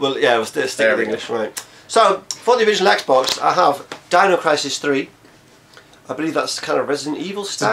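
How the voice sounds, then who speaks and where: Amid noticeable background noise, a man's fairly high voice moves through very wide pitch swings. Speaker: video co-host.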